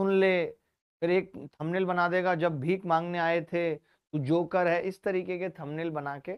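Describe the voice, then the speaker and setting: Shouting loudly, a man speaks at a fairly slow pace in a high pitch. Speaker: maths teacher. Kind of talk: online class lecture. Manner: loud, shouting; animated.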